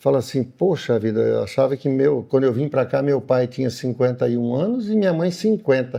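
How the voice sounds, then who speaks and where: With lively intonation and a normal speaking voice, a man talks at a moderate pace and a medium pitch. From Paraná, Brazil. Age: 60s. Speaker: farmer and agribusiness owner. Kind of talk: interview.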